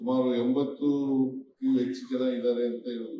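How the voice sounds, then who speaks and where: A man at a medium pitch, dark and mellow in tone, with fairly even intonation. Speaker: politician, chief minister. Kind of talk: public speech at awards ceremony. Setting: stage, PA system.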